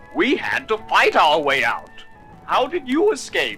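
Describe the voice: A man does a put-on character voice at an extremely high pitch and a moderate pace. Clear music plays in the background.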